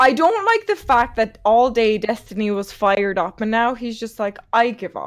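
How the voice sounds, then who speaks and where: With an animated tone, a woman talks at a fairly high pitch with ordinary pitch variation and hardly any pauses. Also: moderate pace. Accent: Irish. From Ireland. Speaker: streamer. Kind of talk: casual chat.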